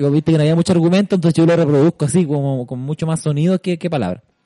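A dry, close sound with no echo, and speech at a very fast pace. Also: man. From Chile, Santiago. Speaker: podcast host. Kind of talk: scripted narration; casual chat.

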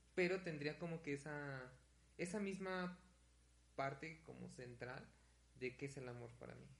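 A man speaks at a fairly slow pace with long, frequent pauses. His fairly high voice is somewhat breathy. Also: ordinary pitch variation. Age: 20s. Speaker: podcast co-host, university student. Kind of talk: casual chat.

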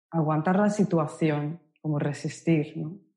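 Very slowly and with fairly even intonation, a woman speaks in a fairly low pitch and a dark, mellow tone. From Japan, Osaka. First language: Japanese (speaking Spanish). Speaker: Japanese language instructor. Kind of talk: casual interview conversation.

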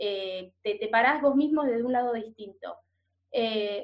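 In a porteño accent, a woman speaks with high pitch and ordinary pitch variation. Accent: porteño Rioplatense Spanish. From Buenos Aires, Argentina. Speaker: culture content creator. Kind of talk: casual interview.

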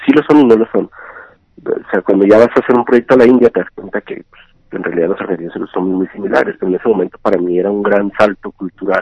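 A man's fairly low voice races at a very fast pace, showing big swings in loudness and ordinary pitch variation. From Ciudad Juárez, northern Mexico. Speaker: entrepreneur in digital marketing. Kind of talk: interview. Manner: halting, with frequent repetitions.

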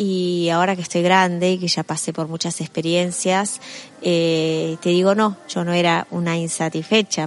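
A woman with a Rioplatense accent speaks at a moderate pace in a flat monotone. Her pitch is fairly low, and there is noticeable background noise. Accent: Argentine Rioplatense Spanish. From Argentina. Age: 50s. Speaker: author and motivational speaker. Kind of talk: interview.

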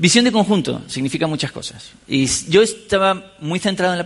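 A man's high-pitched voice with lively intonation. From Canary Islands, Spain (La Laguna, Tenerife). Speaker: software developer and conference speaker. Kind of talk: conference talk. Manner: halting, with frequent repetitions and fillers.

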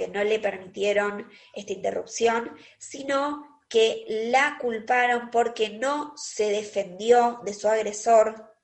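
Pitch varies in an ordinary way while the words come out very slowly. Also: woman. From Argentina, Quilmes (Buenos Aires). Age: 30s. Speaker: podcast co-host. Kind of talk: casual chat.

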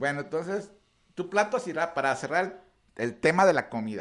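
A man at a fairly high pitch and moderate pace, with very wide pitch swings. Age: 40s. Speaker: radio show host and runner. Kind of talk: casual chat.

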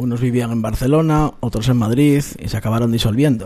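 Here is a man with a dark, mellow tone and a medium pitch. He talks at a moderate pace with ordinary pitch variation. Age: 40s. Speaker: radio host. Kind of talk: radio show presentation.

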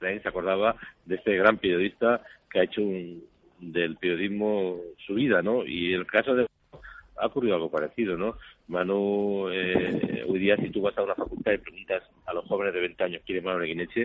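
Speaking at a moderate pace, a man with an ordinary speaking voice has a fairly low pitch and fairly even intonation. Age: 50s. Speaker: photojournalist. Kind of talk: interview.

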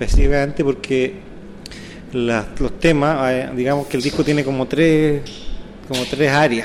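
A man's fairly high voice at a fairly slow pace, with long, frequent pauses and noticeable background noise. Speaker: saxophonist and clarinetist in a band. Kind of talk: interview. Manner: halting, many fillers and repetitions.

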